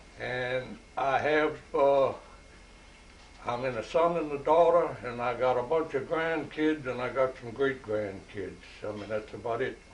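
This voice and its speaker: Speaking at a fairly slow pace with a Louisiana accent, a man with a medium pitch is heard over audible room echo. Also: ordinary pitch variation. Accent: Louisiana Southern. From US South. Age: 80s+. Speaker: retired Navy veteran. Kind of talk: casual chat.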